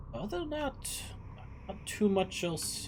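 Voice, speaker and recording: A man puts on a character voice in a high pitch at a fairly slow pace. Background noise is clearly audible. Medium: actual play. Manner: hesitant, rambling.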